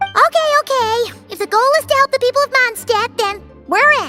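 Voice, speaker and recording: A cartoonish character voice, squeaky and extremely high in pitch, talks at a moderate pace. Faint music plays in the background. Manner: talks about herself in third person.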